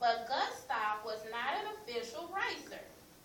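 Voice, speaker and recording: A woman speaks at a fairly slow pace with very wide pitch swings. Background noise is noticeable. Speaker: classroom teacher. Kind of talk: reading a picture book aloud to a class.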